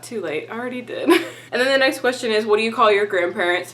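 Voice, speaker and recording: A woman talks at a fairly quick pace in an upbeat tone, her voice fairly high. Noticeable background noise is present. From Texas. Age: 20s. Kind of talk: casual talk to camera. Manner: chatty, upbeat.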